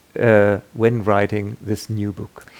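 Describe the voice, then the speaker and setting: A man with a German accent at a very slow pace. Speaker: radio interviewer. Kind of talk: interview. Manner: halting.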